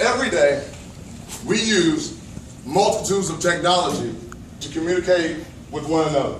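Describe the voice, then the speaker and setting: Loud and high-pitched, a man speaks at a moderate pace with ordinary pitch variation and long, frequent pauses, amid audible room echo and noticeable background noise. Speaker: TEDx speaker. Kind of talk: public talk. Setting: stage with audience.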